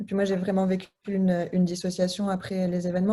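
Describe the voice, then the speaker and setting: The tone is dark and mellow. It also sounds somewhat breathy. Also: woman. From Lebanese diaspora. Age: 30s. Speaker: association co-founder. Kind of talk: interview. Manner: halting, many hesitations.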